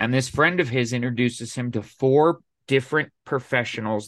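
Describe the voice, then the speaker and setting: On a very clean recording with a silent background, a man with an American accent speaks at a moderate pace in an unremarkable speaking voice, his medium pitch showing ordinary variation. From Colorado. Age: 40s. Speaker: podcast guest sharing life story. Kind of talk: casual interview, personal story.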